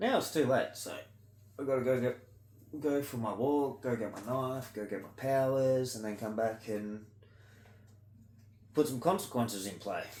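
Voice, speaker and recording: The speech moves at a moderate pace with ordinary pitch variation and long, frequent pauses, set in audible room echo. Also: man, medium pitch for a man. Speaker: vlogger doing ear candling. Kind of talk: casual monologue vlog. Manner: loud.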